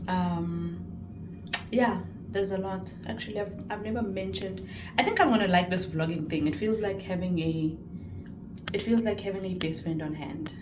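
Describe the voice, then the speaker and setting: Music plays behind a woman speaking at a moderate pace. Room echo is audible. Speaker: vlogger and psychology student. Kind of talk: vlog monologue. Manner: loud and excitable.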